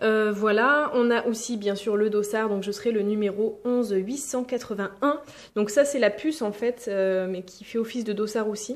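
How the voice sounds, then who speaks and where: Noticeable background noise accompanies a woman with a fairly high pitch. She keeps a moderate pace and fairly even intonation. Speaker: vlogger. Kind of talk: casual vlog. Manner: hesitant, many fillers; soft-spoken.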